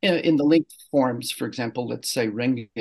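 A man with an unremarkable speaking voice, medium pitch and fairly even intonation, against a quiet background. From Canada. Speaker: poet. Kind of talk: interview conversation.

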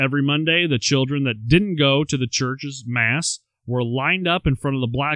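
Plain reading aloud with ordinary pitch variation plays over a quiet background.

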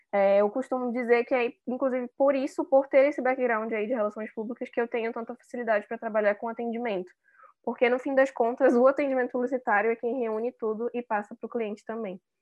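Talking at a very fast pace, a woman uses a high pitch. Her intonation stays fairly even. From Manaus, Brazil. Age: 20s. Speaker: public relations and advertising professional. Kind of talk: casual interview.

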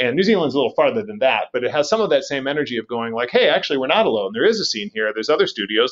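A man with an American accent, talking at a very fast pace, with very wide pitch swings. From Wisconsin, US Midwest. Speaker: game designer. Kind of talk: interview.

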